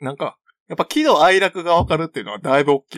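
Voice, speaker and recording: In a very clean recording with a silent background, a man with a fairly high pitch talks at a fairly quick pace, the sound dry and close with no echo. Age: 30s. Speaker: podcast co-host. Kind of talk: casual chat.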